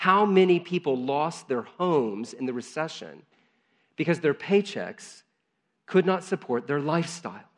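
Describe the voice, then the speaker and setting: A man's normal speaking voice, fairly high-pitched, with lively intonation and a moderate pace over a quiet background. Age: 40s. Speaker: pastor. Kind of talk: sermon.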